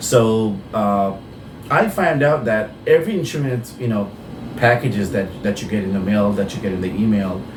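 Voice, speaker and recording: A man talks at a moderate pace with a fairly low pitch and ordinary pitch variation. Audible room echo and noticeable background noise surround him. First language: Bengali. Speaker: insurance broker. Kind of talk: tutorial. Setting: office. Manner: halting.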